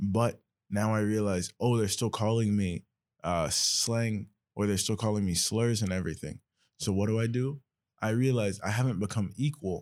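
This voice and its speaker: A man with a fairly low pitch and an ordinary speaking voice talks at a moderate pace, with ordinary pitch variation and very even loudness. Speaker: podcast host. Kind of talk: casual conversation with academic terms.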